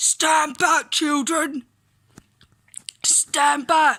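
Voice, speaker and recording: In a put-on character voice, someone shouts at a high pitch with a raspy edge. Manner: shouting, commanding.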